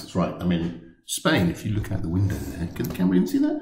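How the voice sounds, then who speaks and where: A man with a fairly low voice speaks at a very fast pace. Light background noise and audible room echo come through. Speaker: tech blogger. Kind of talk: casual vlog chat. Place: office. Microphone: webcam.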